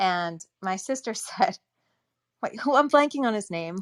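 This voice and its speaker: Speaking with an American accent, a woman with a fairly high pitch uses very wide pitch swings at a moderate pace. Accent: snobby upper-class Connecticut sound. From Connecticut, US Northeast (Darien). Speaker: audiobook narrator. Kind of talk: casual chat.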